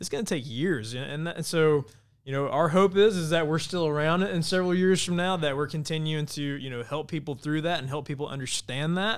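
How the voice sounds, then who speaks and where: Using an unremarkable speaking voice with an American accent, a man talks at a fairly quick pace and fairly high pitch. His pitch varies in an ordinary way, and the recording is very clean with a silent background. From Georgia (US). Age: 30s. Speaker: nonprofit mental health advocate, firefighter. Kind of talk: interview. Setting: studio.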